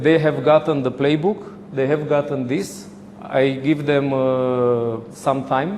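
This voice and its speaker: A man talks at a fairly slow pace, his pitch fairly high with ordinary pitch variation. Audible room echo and noticeable background noise surround his voice. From Romania. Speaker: handball coach. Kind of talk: lecture. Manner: halting.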